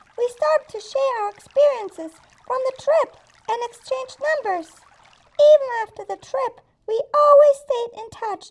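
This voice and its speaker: A cartoonish character voice, female-sounding, with an extremely high pitch. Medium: puppet.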